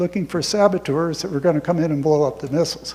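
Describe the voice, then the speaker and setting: With an American accent, a man talks with ordinary pitch variation against noticeable background noise. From US South, rural north Florida. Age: 80s+. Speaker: war veteran. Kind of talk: talk to an audience. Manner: conversational, with self-corrections.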